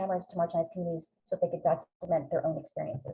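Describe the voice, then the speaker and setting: A woman speaks very fast in a somewhat breathy voice. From immigrant to the US from Greece. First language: Greek. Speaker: professor. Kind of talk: webinar lecture. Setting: video call.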